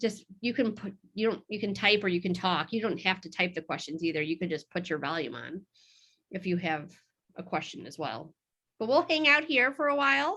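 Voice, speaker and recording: Her fairly high pitch swings very widely as this woman speaks. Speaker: realtor. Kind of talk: presentation. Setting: video call webinar. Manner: fast; casual, filler-heavy.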